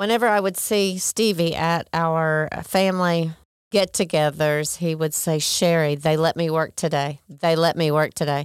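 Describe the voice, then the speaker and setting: In a plain, everyday voice, a woman with an American accent speaks at a fairly low pitch and moderate pace with fairly even intonation and very even loudness on a very clean recording with a silent background. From Oklahoma, US. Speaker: non-profit executive director. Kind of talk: interview. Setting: studio.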